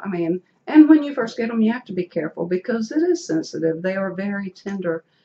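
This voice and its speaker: A woman's somewhat breathy voice at medium pitch, dark and mellow in tone, in a Southern US accent. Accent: Southern US country. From rural North Carolina, US South. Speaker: dental implant patient. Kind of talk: casual interview.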